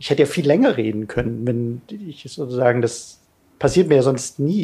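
At a moderate pace, a man with a medium pitch and a dark, mellow, somewhat breathy tone speaks with lively intonation. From Lower Bavaria (Bavarian Forest), born in Ulm. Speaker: political science professor. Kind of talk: interview. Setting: studio, in person.

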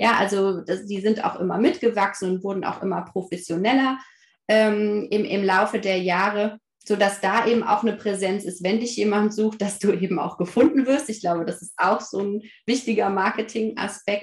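A woman speaks at a moderate pace. Her voice is somewhat breathy, with fairly even intonation. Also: medium pitch for a woman. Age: 30s. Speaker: family counselor and parent coach. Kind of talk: casual interview.

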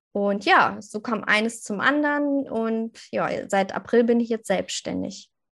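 A woman's fairly high voice at a fairly slow pace, with ordinary pitch variation and hardly any pauses. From northern Germany, near Hanover. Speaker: social media coach and mom blogger. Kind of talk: podcast interview. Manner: animated.

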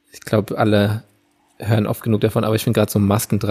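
A man speaks in a fairly low, somewhat breathy voice. His intonation is monotone and flat, and the sound is dry and close with no echo. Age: 30s. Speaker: podcast co-host. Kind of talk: casual chat.

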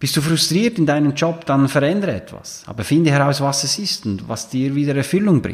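A man's fairly high, somewhat breathy voice, fairly quick with hardly any pauses and lively intonation. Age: 40s. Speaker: coach and podcast host. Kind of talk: solo monologue podcast.

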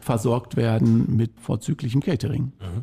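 This man has a medium-pitched, somewhat breathy voice with a dark, mellow tone and fairly even intonation. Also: dry, close sound with no echo. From Lippe, eastern Westphalia, Germany. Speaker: railway association volunteer. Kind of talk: casual interview.

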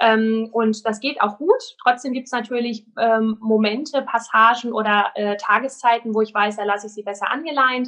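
A woman with a fairly high pitch speaks at a moderate pace. Her loudness swings widely while her intonation stays fairly even. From Germany, Sauerland. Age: 30s. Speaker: dog trainer. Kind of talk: interview. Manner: hesitant, many filler sounds.

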